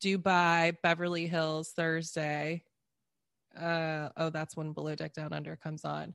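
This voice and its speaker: A woman with an American accent speaks at a fairly slow pace in a very deep, low pitch with monotone, flat intonation, the sound dry and close with no echo over a quiet background. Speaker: podcaster guest. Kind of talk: casual chat.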